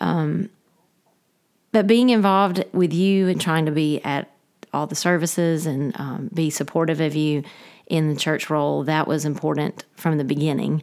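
At a moderate pace, a woman with a Southern US accent speaks in a very deep, low voice. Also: ordinary pitch variation. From US South, Georgia. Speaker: pastor's wife and former teacher. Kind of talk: casual interview.

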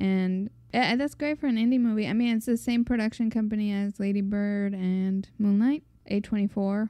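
Soft-spoken and at a fairly quick pace, a woman with an American accent talks at a fairly high pitch with fairly even intonation and very even loudness. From Mexican American. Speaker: podcast co-host. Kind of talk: casual chat.

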